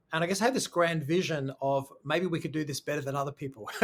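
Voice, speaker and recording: This man talks very fast with an Australian accent. His pitch is fairly high, and his intonation stays fairly even. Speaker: school founder and education consultant. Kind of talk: podcast interview.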